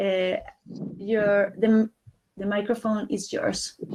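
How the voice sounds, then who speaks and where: Speaking in a Spanish accent, a woman talks at a fairly slow pace. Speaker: panelist. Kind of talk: reading out an introduction. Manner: halting.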